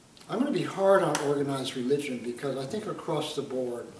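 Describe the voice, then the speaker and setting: Fairly quick speech from a man, light background noise and audible room echo around it. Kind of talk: interview answer. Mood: earnest, engaged. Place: home room. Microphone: camera far.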